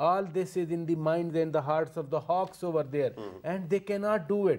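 A man with a high pitch talks at a moderate pace. His pitch variation is ordinary, and the background is quiet. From Pakistan. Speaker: journalist. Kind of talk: TV panel discussion. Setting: studio. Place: studio. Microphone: lapel.

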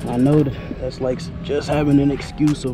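Clear music sits in the background of a dry recording with no echo. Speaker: motorcycle vlogger. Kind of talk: casual vlog chat. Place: street. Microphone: helmet.

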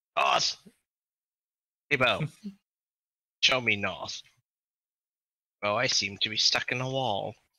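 Pitched low-to-middle, this raspy, put-on character voice leaves long, frequent pauses. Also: fairly slow pace. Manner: eccentric, dramatic.

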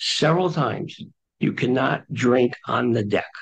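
A man talks over a quiet background. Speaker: resident speaking at public comment. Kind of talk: public comment at town meeting. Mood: concerned, complaining. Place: meeting room. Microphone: camera far.

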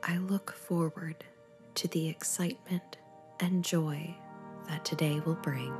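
Over music in the background, a woman with a fairly low pitch speaks at a fairly slow pace in a calm, soothing tone, with fairly even intonation and long, frequent pauses. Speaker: meditation guide. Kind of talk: guided meditation with affirmations.

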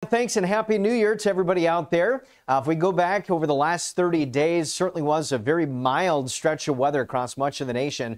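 A man's high-pitched, fairly quick speech with hardly any pauses, lively intonation, very even loudness, and a quiet background. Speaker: TV weather forecaster. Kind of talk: broadcast weather forecast explaining maps and outlook. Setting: TV studio. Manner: fluent, even-paced, conversational yet professional; measured, with occasional filler 'uh'. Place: studio. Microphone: lapel.

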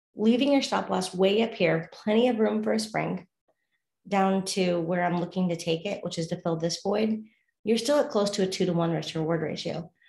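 With lively intonation, a woman speaks at a medium pitch in a somewhat breathy voice. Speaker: forex trading video host. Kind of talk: casual instructional. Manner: fast talker.

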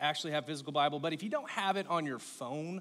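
The speaker is a man. His pitch moves in an ordinary way. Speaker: pastor. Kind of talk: sermon. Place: stage.

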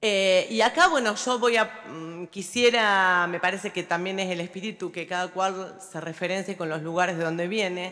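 A woman talks at a moderate pace. Her tone is bright and sharp, with fairly even intonation. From Olavarría, Buenos Aires Province, Argentina; Buenos Aires Province, Argentina. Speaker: local politician; city councillor. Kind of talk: formal speech. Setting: legislative chamber. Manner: halting, with many fillers. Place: hall. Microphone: podium.

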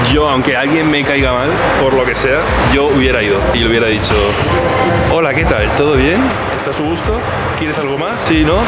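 Music plays in the background as a man speaks at a moderate pace. His pitch varies in an ordinary way, with long, frequent pauses. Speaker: food vlogger. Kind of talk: casual vlog chat. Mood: light, slightly ironic. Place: cafe. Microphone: phone near.

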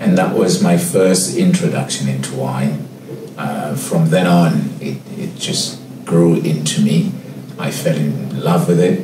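A man talks at a fairly slow pace with noticeable background noise behind him. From Cape Town, South Africa. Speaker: head sommelier. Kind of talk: interview answer. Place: office.

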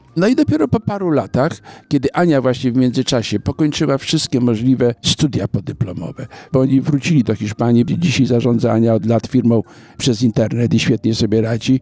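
A man with a Polish accent at a fairly quick pace, medium pitch, ordinary pitch variation and very even loudness, in a dry, close sound with no echo. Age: 70s. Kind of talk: interview. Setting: outdoor business forum.

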